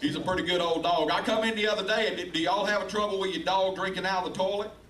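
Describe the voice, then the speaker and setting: A man's very fast speech comes through noticeable background noise. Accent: Southern US. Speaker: stand-up comedian. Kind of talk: live stand-up comedy set. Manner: friendly, congenial.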